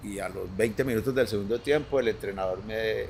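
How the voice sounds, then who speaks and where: At a moderate pace, a man with a medium-pitched, somewhat breathy voice is talking. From Colombia, Antioquia (Medellín). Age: 60s. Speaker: former professional footballer. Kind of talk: casual interview chat. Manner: halting, repeats words.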